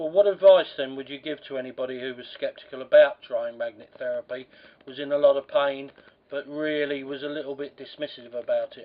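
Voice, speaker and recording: Over noticeable background noise, a man with a fairly high pitch talks at a fairly quick pace, his intonation fairly even and his loudness swinging widely. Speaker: magnet therapist, interviewer. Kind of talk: interviewer questions.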